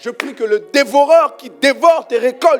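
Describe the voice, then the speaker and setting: Music plays in the background as a man speaks. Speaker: preacher. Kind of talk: sermon. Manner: forceful, projecting.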